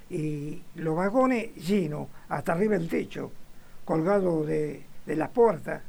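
A man speaks with a high-pitched voice. His pace is very slow. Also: ordinary pitch variation. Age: 90s. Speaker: retired butcher, football fan. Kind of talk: interview. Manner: halting.

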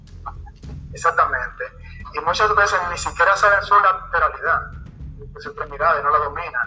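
Moderately paced speech from a man, marked by long, frequent pauses and big swings in loudness. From Dominican Republic, Salcedo. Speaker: physical education teacher. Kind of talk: casual discussion podcast.

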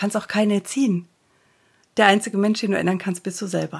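A fairly high-pitched, somewhat breathy female voice, fairly fast in delivery. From Germany. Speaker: coach and podcast host. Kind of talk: interview.

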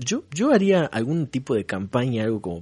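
At a fairly quick pace, a man's dark, mellow voice comes through over a quiet background. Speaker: podcast co-host. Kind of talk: casual chat.

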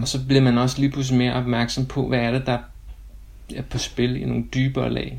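This man speaks at a moderate pace. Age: 30s. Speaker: school administration consultant, churchgoer. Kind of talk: interview about contemplative prayer. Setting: remote recording, separate locations. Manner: halting, many filler sounds.

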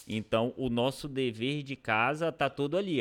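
Captured in a very clean recording with a silent background, a man talks in a plain, everyday voice at a medium pitch with lively intonation. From Pará, Brazil (interior, near Maranhão border). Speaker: mayor and physician. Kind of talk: casual interview.

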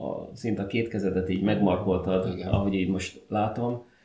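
A man's fairly low, dark, mellow voice with fairly even intonation and audible room echo. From Hungary, Szentes. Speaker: podcast host. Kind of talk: casual chat.

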